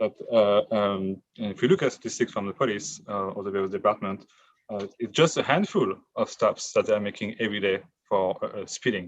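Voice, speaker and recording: A man with a non-native accent speaks at a fairly quick pace. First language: not English. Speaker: member of the public testifying. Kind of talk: public hearing testimony. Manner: halting, many fillers.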